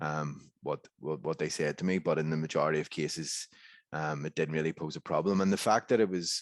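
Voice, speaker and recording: A man speaks in a Northern Irish accent at a fairly quick pace. His intonation is fairly even, and the sound is dry and close with no echo. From Northern Ireland. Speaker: historian. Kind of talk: conference panel discussion. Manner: halting, many repetitions.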